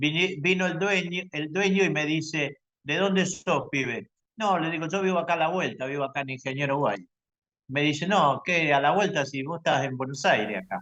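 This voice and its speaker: A man with a Rioplatense accent talks at a moderate pace in a fairly high pitch, with ordinary pitch variation and a bright, sharp tone. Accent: Argentine Rioplatense Spanish. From Argentina. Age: 70s. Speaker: UFO abductee, lecturer. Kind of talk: testimony.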